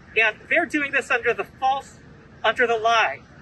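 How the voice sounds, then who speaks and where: A man speaks at an extremely high pitch. The sound is dry with no echo, over light background noise. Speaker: activist attorney and organizer. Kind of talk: press conference speech. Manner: formal. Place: street. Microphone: podium.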